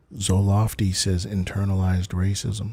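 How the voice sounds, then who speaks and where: Soft-spoken and somewhat breathy, this man has a fairly low pitch, a dark, mellow tone and a monotone, flat delivery. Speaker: livestreamer. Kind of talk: casual chat. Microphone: good mic.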